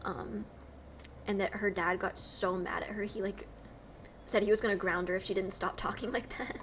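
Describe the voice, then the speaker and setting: With an American accent, a woman speaks at a moderate pace and medium pitch, her intonation fairly even. She leaves long, frequent pauses, and there is noticeable background noise. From US South, Georgia. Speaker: streamer and cosplayer. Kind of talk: casual live-stream chat.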